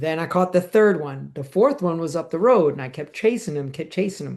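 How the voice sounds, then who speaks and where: Against a quiet background, a man with a high pitch talks at a moderate pace, his tone animated and his pitch variation ordinary. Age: 60s. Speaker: podcast co-host, amateur cyclist. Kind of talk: casual chat.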